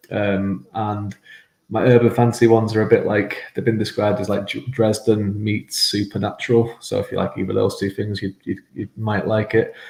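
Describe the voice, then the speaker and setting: A man speaks in a fairly low, somewhat breathy voice with monotone, flat intonation. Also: moderate pace. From mixed Irish and English upbringing. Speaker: fantasy author. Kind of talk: casual interview chat. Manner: halting, many fillers and repetitions.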